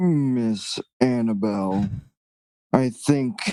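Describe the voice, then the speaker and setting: The speaker is a man using a put-on character voice. It sits at a medium pitch. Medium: actual play.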